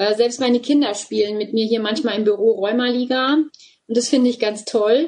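A woman talks at a moderate pace with hardly any pauses, her pitch fairly high and her intonation fairly even. It is a normal speaking voice. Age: 40s. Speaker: volunteer group leader. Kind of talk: interview.

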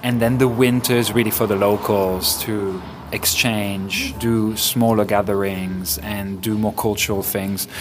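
Against noticeable background noise, a man with a fairly low pitch talks at a fairly slow pace with fairly even intonation and hardly any pauses. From Ibiza, Spain. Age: 40s. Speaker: DJ and music curator. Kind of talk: interview. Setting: cafe.

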